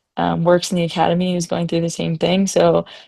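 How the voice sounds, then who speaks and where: The speech moves at a fairly quick pace over a quiet background. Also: woman. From Ontario, Canada. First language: French. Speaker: ski instructor. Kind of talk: webinar panel discussion. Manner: casual, filler-heavy.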